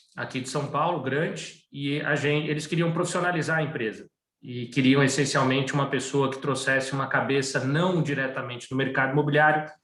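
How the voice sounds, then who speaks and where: A man speaks at a fairly quick pace with hardly any pauses, his pitch fairly high. His intonation is monotone and flat, and the room echo is audible. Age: 40s. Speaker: asset management executive. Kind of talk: webinar interview.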